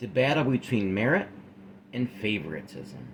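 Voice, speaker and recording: Noticeable background noise and audible room echo accompany a man who speaks at a moderate pace. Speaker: YouTuber discussing workplace issues. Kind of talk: discussion monologue. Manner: casual, halting at times.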